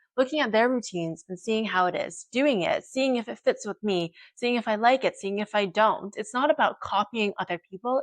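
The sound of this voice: A woman talks with medium pitch and normal rise and fall, keeping a moderate pace.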